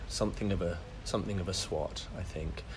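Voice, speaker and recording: With audible room echo around him, a man delivers his words at a fairly quick pace. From West Midlands, England (Solihull, near Birmingham). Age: 40s. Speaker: actor. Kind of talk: casual interview chat. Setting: podcast interview.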